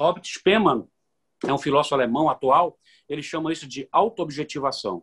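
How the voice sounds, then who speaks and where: A man's plain, everyday voice at a fairly high pitch and moderate pace, with ordinary pitch variation, big swings in loudness, and a dry, close sound with no echo. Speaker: lawyer and university professor. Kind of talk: radio interview.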